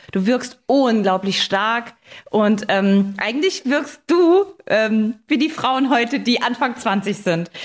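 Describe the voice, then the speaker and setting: A woman speaks very slowly, her pitch fairly high. Her loudness stays very even throughout. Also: lively intonation. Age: 30s. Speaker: podcast host. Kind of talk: casual chat.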